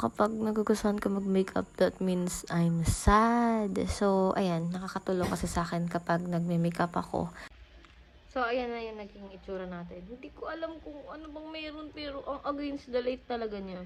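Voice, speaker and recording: Over noticeable background noise, a woman with a medium-pitched voice talks at a moderate pace, her intonation lively and her loudness swinging widely. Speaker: beauty vlogger. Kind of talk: makeup tutorial vlog. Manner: casual, halting.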